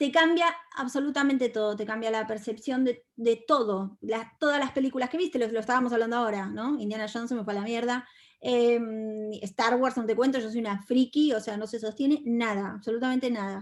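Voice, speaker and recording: This woman has a Rioplatense accent and a fairly high pitch with ordinary pitch variation. She talks at a fairly quick pace on a very clean recording with a silent background. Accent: Argentine Spanish (rioplatense, voseo). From Argentina. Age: 40s. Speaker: feminist speaker and content creator. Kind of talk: talk to an audience. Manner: animated.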